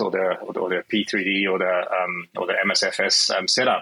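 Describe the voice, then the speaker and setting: A man speaks at a fairly slow pace. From Switzerland. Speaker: software developer, physicist. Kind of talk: interview. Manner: halting, with repetitions.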